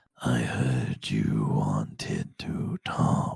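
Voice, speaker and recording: A raspy, very deep, low put-on character voice. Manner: menacing.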